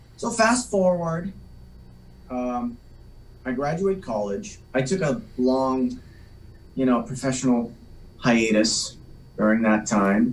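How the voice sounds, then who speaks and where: A man at medium pitch, very slow with long, frequent pauses and lively intonation, amid audible room echo. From Massachusetts North Shore (Salem). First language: Polish. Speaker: actor. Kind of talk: interview chat.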